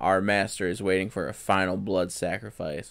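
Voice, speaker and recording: In a raspy put-on character voice, a man talks at a moderate pace with very deep, low pitch and fairly even intonation. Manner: menacing, ritualistic.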